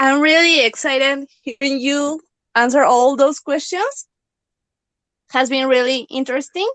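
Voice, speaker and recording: In a Mexican accent, a woman speaks high-pitched at a fairly slow pace with long, frequent pauses and fairly even intonation. The sound is dry and close with no echo. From Mexico. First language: Spanish. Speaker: fan. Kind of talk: casual chat. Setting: online audio room.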